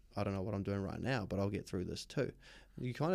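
A man with a New Zealand accent speaks in a dark, mellow tone with ordinary pitch variation. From New Zealand, West Auckland. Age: 30s. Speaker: mental health advocate. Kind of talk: casual chat. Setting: studio.

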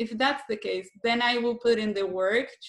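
Moderate-paced talking from a woman, pitch varying in an ordinary way. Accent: Brazilian. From southern Brazil. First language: Portuguese. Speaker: filmmaker. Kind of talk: interview.

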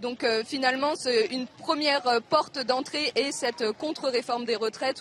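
Over noticeable background noise, a woman with a high pitch speaks at a very slow pace with ordinary pitch variation. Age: young. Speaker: primary school teacher. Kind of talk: live interview. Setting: outdoor street demonstration.

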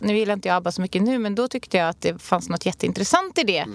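This woman talks at a very fast pace in a medium pitch. Her pitch varies in an ordinary way. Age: 30s. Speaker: podcast co-host. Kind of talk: casual chat.

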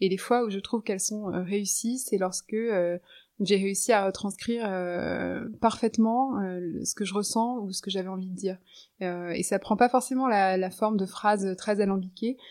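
This woman talks at a fairly slow pace with a medium pitch and fairly even intonation. The recording is very clean, with a silent background. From Norway, Lebanon and France. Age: 30s. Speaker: writer and poet. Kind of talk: interview conversation. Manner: hesitant, many fillers.

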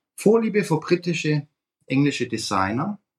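A man talks at a moderate pace, somewhat breathy. His intonation is lively. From Swabia, Germany. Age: 50s. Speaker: fund industry consultant. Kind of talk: interview.

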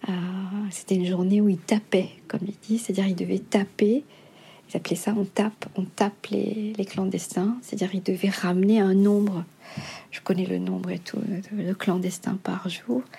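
A woman speaks at a moderate pace and medium pitch, somewhat breathy with a dark, mellow tone, fairly even intonation and long, frequent pauses. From Mauritius. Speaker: novelist. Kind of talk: interview. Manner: hesitant.

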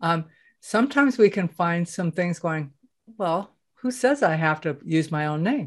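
This woman's fairly low, warm-toned voice swings very widely in pitch against a quiet background. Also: moderate pace. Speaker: podcast host. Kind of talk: casual interview chat. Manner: warm, conversational.

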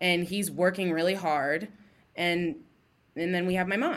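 The speaker talks at a fairly slow pace with an American accent. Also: woman. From US Midwest, Columbus, Ohio. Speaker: fashion creative. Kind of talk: casual chat.

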